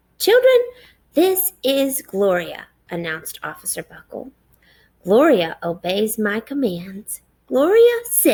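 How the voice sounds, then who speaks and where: A woman puts on a character voice, speaking at a high pitch and a fairly slow pace. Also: big swings in loudness. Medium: read story.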